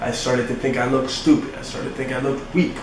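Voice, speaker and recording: A man's fairly high voice at a very fast pace, with audible room echo and noticeable background noise. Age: 20s. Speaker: fitness podcast host. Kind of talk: casual solo podcast monologue. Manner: animated.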